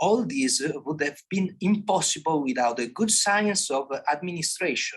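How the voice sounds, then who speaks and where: A man with an Italian accent speaks at a moderate pace with lively intonation. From Italy. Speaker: philosophy scholar. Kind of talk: conference talk. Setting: conference with audience. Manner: halting.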